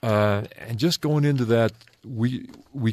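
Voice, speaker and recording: With an American accent, the man talks at a medium pitch. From Utah, Salt Lake Valley. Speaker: retired pro basketball player, educator. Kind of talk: radio interview. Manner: halting.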